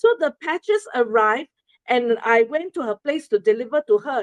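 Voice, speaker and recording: With a Singaporean accent, a woman speaks at a moderate pace in a high pitch with very wide pitch swings. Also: dry, close sound with no echo. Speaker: presenter sharing a testimonial. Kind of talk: presentation to an audience. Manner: halting, many fillers.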